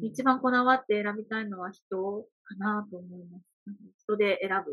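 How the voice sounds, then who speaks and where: This woman has an ordinary speaking voice at a medium pitch, with fairly even intonation. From Hyogo, Kansai (rural Ako). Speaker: wedding producer and emcee. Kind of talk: casual interview.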